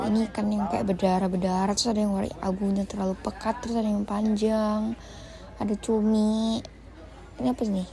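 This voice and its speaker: A woman talks at a very fast pace. Her voice has a dark, mellow tone and is somewhat breathy. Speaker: vlogger. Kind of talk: casual vlog narration. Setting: seafood market. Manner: animated. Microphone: mic not connected, quiet sound.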